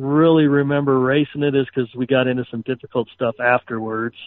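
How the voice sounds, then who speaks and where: The man has an unremarkable speaking voice at medium pitch. He talks at a fairly quick pace with fairly even intonation. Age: 50s. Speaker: off-road race truck driver. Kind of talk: casual chat.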